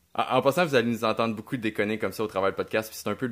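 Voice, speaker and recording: A man talks in a normal speaking voice at a fairly low pitch with fairly even intonation. The recording is very clean, with a silent background. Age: 30s. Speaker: podcast host, adventure filmmaker. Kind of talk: casual chat.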